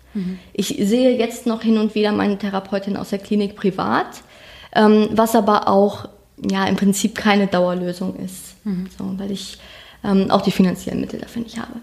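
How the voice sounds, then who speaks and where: Her voice is somewhat breathy. She delivers her words with monotone, flat intonation. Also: medium pitch for a woman, moderate pace. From northern Germany, rural Schleswig-Holstein. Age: 20s. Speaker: crime victim sharing her story. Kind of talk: testimony. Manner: halting.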